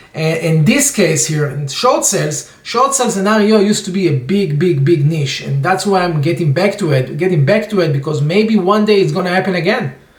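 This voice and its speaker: A man speaks with a high pitch and lively intonation. The room echo is audible. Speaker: real estate investor. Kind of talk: tutorial. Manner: fast. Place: home room. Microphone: webcam.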